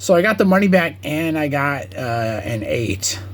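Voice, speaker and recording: A man speaks over noticeable background noise. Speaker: card collector video creator. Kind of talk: casual collection showcase. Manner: casual, filler-heavy.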